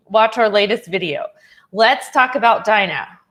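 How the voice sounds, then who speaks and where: With an American accent and a normal speaking voice, a woman talks fairly slowly at a fairly high pitch with lively intonation. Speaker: online English teacher. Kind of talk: casual livestream chat. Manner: conversational, reading comments aloud.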